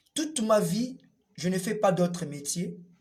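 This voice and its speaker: A man at a high pitch and a very slow pace, with ordinary pitch variation. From DR Congo. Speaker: puppeteer and storyteller. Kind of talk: interview testimony. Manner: hesitant with fillers.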